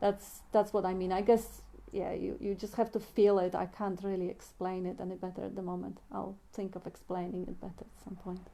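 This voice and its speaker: A woman with a non-native accent speaks at medium pitch in a dark, mellow tone and a monotone, flat intonation. Her pace is fairly quick with hardly any pauses, and her loudness swings widely. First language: not English. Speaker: spiritual discussion moderator. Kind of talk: spiritual group discussion. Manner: halting.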